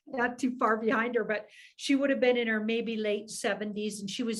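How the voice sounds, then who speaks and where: A woman talks at a moderate pace in an ordinary speaking voice. Her pitch sits fairly high. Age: 60s. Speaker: tarot reader. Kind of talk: casual interview.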